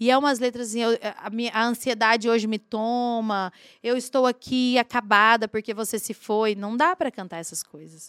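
A woman speaks in a plain, everyday voice at a moderate pace, with ordinary pitch variation and big swings in loudness, on a very clean recording with a silent background and a dry, close sound with no echo. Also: fairly high pitch for a woman. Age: 40s. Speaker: singer and songwriter. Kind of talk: casual chat.

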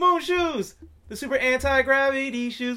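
Raised and projected, a man's extremely high voice comes across animated, with a bright, sharp tone. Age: 20s. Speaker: podcast co-host. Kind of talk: casual chat.

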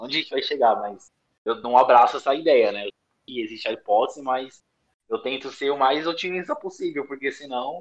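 A plain, everyday voice from a man, fairly high in pitch, at a moderate pace with ordinary pitch variation. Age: 30s. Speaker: nursing technician. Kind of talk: casual interview.

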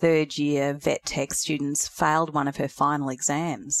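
A woman with an Australian accent speaks at a moderate pace in a very deep, low pitch and monotone, flat intonation, recorded with a dry, close sound, no echo and a very clean, silent background. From North Queensland, Australia. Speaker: veterinary nurse and academic. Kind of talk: interview.

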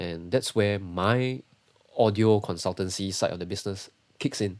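A man with a Singaporean accent. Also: very clean recording, silent background. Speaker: sound engineer. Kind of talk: casual interview. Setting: livestream.

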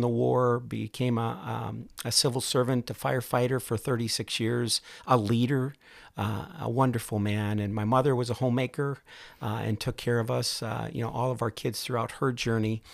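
A man at medium pitch with an American accent, moderate pace, fairly even intonation and an ordinary speaking voice, on a very clean recording with a silent background. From northern Minnesota. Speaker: semiconductor executive and army veteran. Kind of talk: interview conversation.

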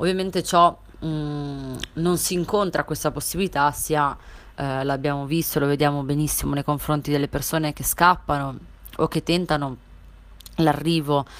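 Speaking at a moderate pace, a woman with a very deep, low pitch keeps her intonation fairly even. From Italy, Palestinian family. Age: 20s. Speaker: activist. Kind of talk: testimony. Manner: halting, many fillers.

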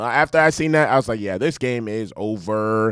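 In a very clean recording with a silent background and a dry, close sound with no echo, a man speaks in an animated tone. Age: 20s. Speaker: sports podcast host. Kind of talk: casual solo sports commentary. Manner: fast.

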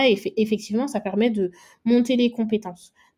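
A woman speaks at a moderate pace in a somewhat breathy, fairly high voice. Her tone is dark and mellow, and the recording is very clean with a silent background. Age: 20s. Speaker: make-up artist. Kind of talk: interview.

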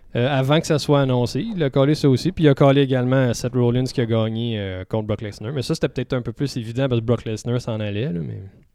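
At a very fast pace with hardly any pauses, a man talks in a dark, mellow tone at medium pitch, with ordinary pitch variation and a quiet background. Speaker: podcast co-host. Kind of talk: casual chat. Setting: studio.

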